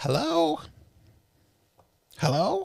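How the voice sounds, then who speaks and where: A put-on character voice sits at a middle pitch. It sounds raspy. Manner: tentative, confused.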